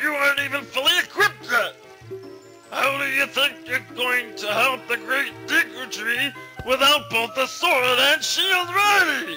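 A man puts on a character voice at an extremely high pitch, hoarse and raspy, at a moderate pace. Clear music sounds in the background. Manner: stern, scolding.

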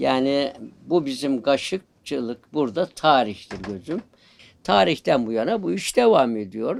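This man talks fairly slowly. His voice leaps across a very wide pitch range. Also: medium pitch for a man. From Sakarya, Turkey. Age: 70s. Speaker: spoon carver. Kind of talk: interview.

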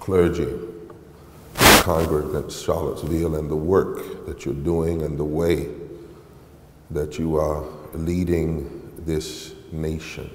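A man's very deep, low voice in monotone, flat intonation at a very slow pace, with long, frequent pauses and noticeable background noise. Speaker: preacher. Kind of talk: sermon. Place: church. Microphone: headset.

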